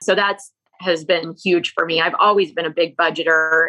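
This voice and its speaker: Over music in the background, a woman talks in a fairly low pitch with monotone, flat intonation. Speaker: real estate investor. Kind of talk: interview.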